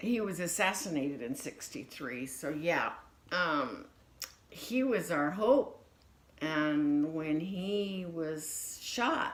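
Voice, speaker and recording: Amid audible room echo, a woman with a fairly low pitch speaks very slowly, her pitch swinging very widely. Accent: American. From United States. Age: 60s. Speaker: grandmother interviewed for family history. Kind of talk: casual interview.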